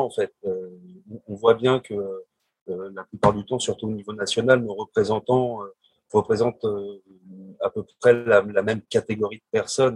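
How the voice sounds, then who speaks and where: In a normal speaking voice, a man talks at a fairly slow pace with fairly even intonation, and the sound is dry and close with no echo. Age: 40s. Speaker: civil servant. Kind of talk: panel discussion.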